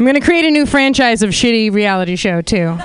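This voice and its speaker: The speaker's intonation is lively. Noticeable background noise runs underneath. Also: woman. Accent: American. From California (Santa Cruz). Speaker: comedian. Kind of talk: stand-up. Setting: stage with audience.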